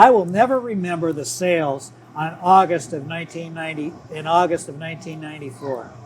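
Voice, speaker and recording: Noticeable background noise runs through the clip. The intonation is lively. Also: man. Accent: American. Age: 70s. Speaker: retired business executive. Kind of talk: casual chat.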